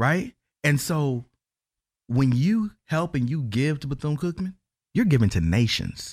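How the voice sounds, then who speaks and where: Speaking with an American accent, a somewhat breathy man uses lively intonation at a fairly slow pace with long, frequent pauses, in a very clean recording with a silent background. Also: fairly high pitch for a man. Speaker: educator and university advocate. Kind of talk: interview.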